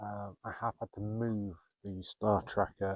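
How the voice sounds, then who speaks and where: A man speaks in a fairly low voice with flat, monotone intonation, recorded dry and close with no echo. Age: 40s. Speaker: photographer. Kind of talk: vlog narration. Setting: outdoors. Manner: casual; whispering.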